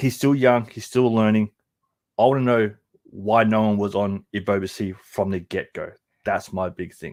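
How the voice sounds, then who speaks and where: Fairly low in pitch, a man with an Australian accent speaks at a moderate pace with fairly even intonation. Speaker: soccer podcast co-host. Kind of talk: play-by-play match analysis.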